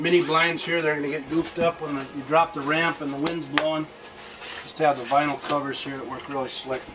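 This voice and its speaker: Noticeable background noise fills the clip. Over it, a man speaks fairly quickly. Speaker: camper salesman. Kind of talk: sales walkthrough tour. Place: hall. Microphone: camera far.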